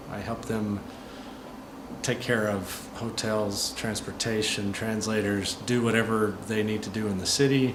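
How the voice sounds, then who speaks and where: A man's fairly low, monotone voice at a fairly slow pace, with audible room echo and noticeable background noise. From US Midwest, St. Louis area. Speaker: American expat helping visitors. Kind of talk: interview. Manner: clear-spoken.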